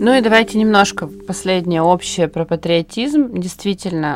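A woman with an ordinary speaking voice talks at a moderate pace, her intonation lively. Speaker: podcast host. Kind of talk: moderated panel discussion. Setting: studio.

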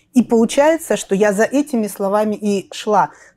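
A woman with a dark, mellow tone talks at a moderate pace in a dry, close sound with no echo. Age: 40s. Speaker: women's mentor on weight loss and finances. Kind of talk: interview, personal life story.

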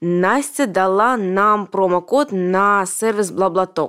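Very slowly, a woman talks in a medium pitch. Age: 30s. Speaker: podcast host, business owner. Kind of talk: sponsor read; casual interview.

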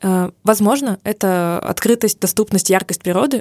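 The recording is very clean, with a silent background. The sound is dry and close, with no echo. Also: woman. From Urals, Russia. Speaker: podcast co-host, advertising creative. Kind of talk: casual chat. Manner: animated.

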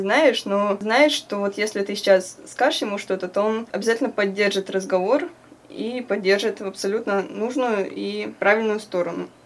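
A woman talks at a moderate pace in a medium pitch. Noticeable background noise runs underneath. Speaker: student activist. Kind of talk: interview.

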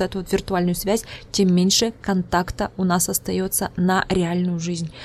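The voice carries a Udmurtian accent. It moves at a moderate pace. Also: woman. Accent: Udmurt accent in Russian. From Udmurtia, Russia. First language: Udmurt (speaking Russian). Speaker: psychologist and podcast host. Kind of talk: casual interview.

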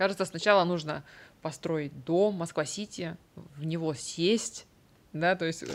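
Very slowly, a woman speaks with fairly even intonation. The recording is very clean with a silent background. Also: fairly low pitch for a woman. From Vologda, northern Russia. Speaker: event director and organizer. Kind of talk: interview conversation.

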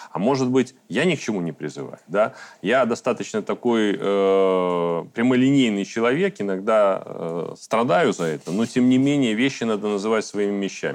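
An unremarkable speaking voice from a man, fairly low in pitch, with lively intonation, a moderate pace and a quiet background. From Belarus. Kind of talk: panel discussion.

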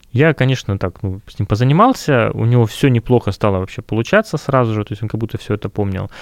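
On a very clean recording with a silent background and a dry, close sound with no echo, a man at medium pitch talks at a very fast pace with ordinary pitch variation. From Russia, Kurgan. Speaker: music school founder and music teacher. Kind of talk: casual interview.

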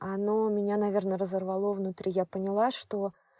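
A woman's dark, mellow voice at medium pitch and moderate pace, dry and close with no echo, on a very clean recording with a silent background. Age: 30s. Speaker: mother on maternity leave. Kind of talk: interview conversation.

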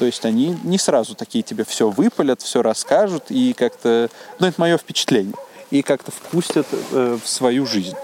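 Recorded dry and close with no echo, though with noticeable background noise, a man speaks at a moderate pace and fairly high pitch, his loudness very even and his pitch swinging very widely. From Uzbekistan. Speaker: teacher. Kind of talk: casual chat.

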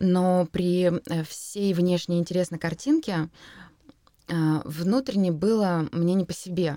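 A woman with a fairly low pitch and a dark, mellow tone is heard in a very clean recording with a silent background and a dry, close sound with no echo. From Russia, Kurgan. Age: 30s. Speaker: poetry event organizer. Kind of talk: interview.

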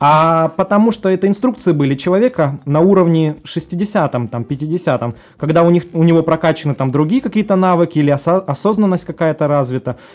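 A man with a high-pitched voice, talking at a moderate pace. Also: lively intonation. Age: 30s. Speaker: life coach. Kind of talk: casual interview.

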